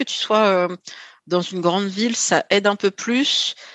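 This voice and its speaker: A woman's voice at a medium pitch. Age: 40s. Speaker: podcast host, guest on another show. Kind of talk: casual chat. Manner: halting, many fillers.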